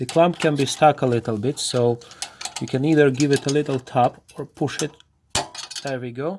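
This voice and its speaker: This speaker has a non-native accent and talks at a moderate pace. Long pauses come often. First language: not English. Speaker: car repair video maker. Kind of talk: tutorial. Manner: halting.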